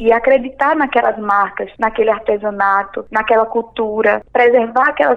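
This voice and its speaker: This woman has an ordinary speaking voice, pitched fairly high and moving at a moderate pace with ordinary pitch variation. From Pernambuco, Brazil (Recife area). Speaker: entrepreneur and journalist. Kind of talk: interview.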